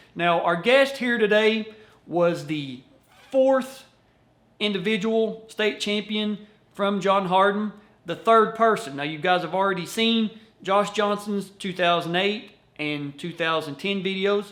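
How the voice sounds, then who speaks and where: With a Kentucky accent, a man talks at a fairly slow pace in a high pitch, his pitch varying in an ordinary way. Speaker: wrestling video host. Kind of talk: casual interview.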